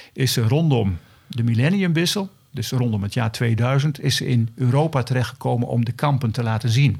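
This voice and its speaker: Somewhat breathy, a man talks at medium pitch with lively intonation. His pace is moderate. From Elburg, Gelderland, Netherlands. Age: 60s. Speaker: local historian and retired teacher. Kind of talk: interview.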